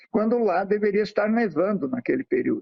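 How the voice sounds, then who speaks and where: A man talks in a high-pitched voice. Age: 60s. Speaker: environmental volunteer and nature photographer. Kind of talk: interview.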